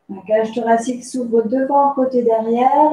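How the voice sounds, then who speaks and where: A woman's high-pitched voice at a fairly slow pace, with ordinary pitch variation and audible room echo. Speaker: pilates instructor. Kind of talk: tutorial. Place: home room. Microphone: camera far.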